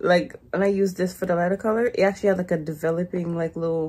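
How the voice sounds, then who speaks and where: This woman has a fairly low pitch, a dark, mellow tone and ordinary pitch variation. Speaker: hair vlogger. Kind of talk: casual tutorial chat. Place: home room. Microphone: phone near.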